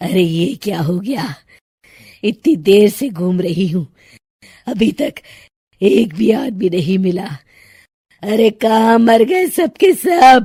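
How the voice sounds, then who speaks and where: A cartoonish character voice with a fairly high pitch. It moves at a fairly slow pace with long, frequent pauses. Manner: menacing, taunting.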